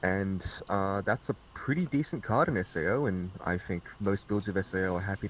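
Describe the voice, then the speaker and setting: A man's fairly low voice with ordinary pitch variation, moving at a fairly quick pace. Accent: Australian. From Australia. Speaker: card game reviewer. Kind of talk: casual group discussion. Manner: sarcastic.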